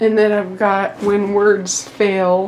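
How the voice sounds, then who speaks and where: Over noticeable background noise and audible room echo, a woman talks very slowly at medium pitch with fairly even intonation. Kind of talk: casual room tour vlog.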